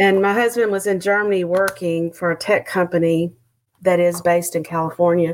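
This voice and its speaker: The loudness stays very even, with a Texan accent. Delivery is monotone and flat at a fairly quick pace. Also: woman, fairly low pitch for a woman. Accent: Texan Southern. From Texas. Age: 50s. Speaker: retired teacher and author. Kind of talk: casual interview conversation.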